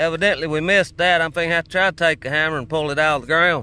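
A man speaks with a bright, sharp tone. The sound is dry, with no echo. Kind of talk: casual vlog chat. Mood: relaxed, admiring. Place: workshop. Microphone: phone near.

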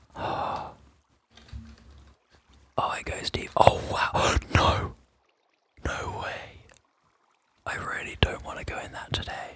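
Whispering at a very slow pace with long, frequent pauses. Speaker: ASMR gaming creator. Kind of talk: ASMR gaming commentary. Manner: soft whispering.

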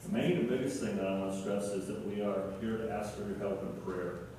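A man's fairly low voice at a fairly quick pace, with strong room echo and light background noise. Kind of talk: church talk to congregation. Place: church. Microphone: camera far.

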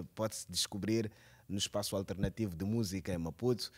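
This is a male speaker. The rise and fall of his pitch is typical. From Mozambique. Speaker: cultural journalist and TV presenter; cultural journalist, TV presenter. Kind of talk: interview. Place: hall. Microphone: handheld.

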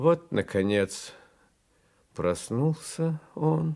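The man's pitch swings very widely as he talks at a very slow pace. The recording is very clean, with a silent background. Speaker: actor. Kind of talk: poetry reading. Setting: studio.

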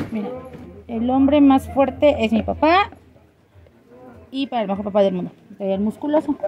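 The pitch rises and falls in an ordinary way. The pace is moderate, with light noise in the background. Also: woman. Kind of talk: casual product explanation. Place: shop. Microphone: phone near.

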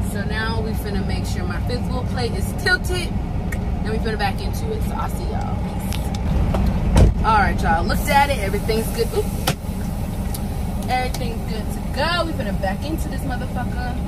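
A woman talking at a fairly quick pace over loud background noise. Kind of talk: casual vlog chat. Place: car. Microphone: phone near.

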